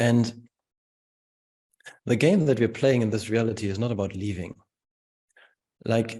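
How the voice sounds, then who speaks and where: This man speaks with a German accent. His voice sits fairly low in pitch, with a dark, mellow tone. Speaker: spiritual teacher. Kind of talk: webinar Q&A answer. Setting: video call webinar.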